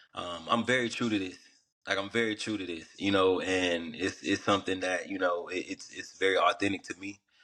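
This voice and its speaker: A man with a fairly low pitch and a slight Southern US accent, bright and sharp in tone, fairly quick, in a flat monotone. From US South, Atlanta, Georgia. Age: young. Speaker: rapper and runner. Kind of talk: podcast interview. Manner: casual, filler-heavy.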